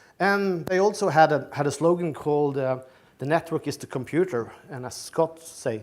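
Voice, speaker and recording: Speaking with a Norwegian accent, a man uses lively intonation, a fairly high pitch and a moderate pace. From Norway. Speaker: tech company executive, keynote speaker. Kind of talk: conference keynote. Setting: stage with audience. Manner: halting, many fillers and repetitions.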